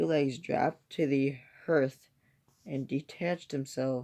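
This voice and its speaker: Someone talks quietly at a fairly slow pace. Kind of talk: reading scary stories aloud from a book. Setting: indoors at home, kept quiet so a toddler can sleep. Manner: quiet, subdued reading.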